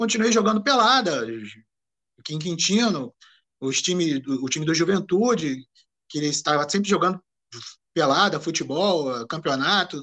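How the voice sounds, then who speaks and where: His pitch is high and his intonation lively. This man keeps a moderate pace broken by long, frequent pauses. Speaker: amateur football historian and former player. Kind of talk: interview. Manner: halting.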